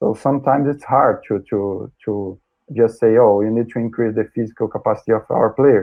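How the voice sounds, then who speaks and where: Fairly quick speech from a man with a Brazilian accent, medium pitch and fairly even intonation. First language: Portuguese. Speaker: sports scientist. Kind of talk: interview. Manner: halting, many repetitions.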